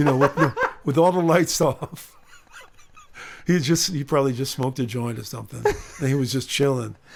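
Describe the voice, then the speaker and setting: Over noticeable background noise, a man with an American accent and a fairly high pitch speaks at a fairly quick pace, using ordinary pitch variation and long, frequent pauses. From San Diego, California. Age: 60s. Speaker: musician. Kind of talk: casual chat. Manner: halting.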